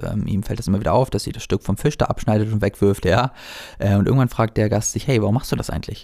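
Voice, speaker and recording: A man speaks at a very fast pace with a dark, mellow tone. His pitch is fairly low and his intonation fairly even. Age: 20s. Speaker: life coach and podcast host. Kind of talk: solo podcast monologue. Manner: casual, with many filler words.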